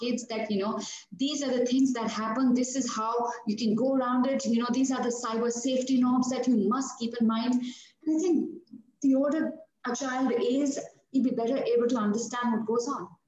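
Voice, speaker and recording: Amid audible room echo, a woman with high pitch talks at a fairly quick pace and fairly even intonation. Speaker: author and former news anchor. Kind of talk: interview.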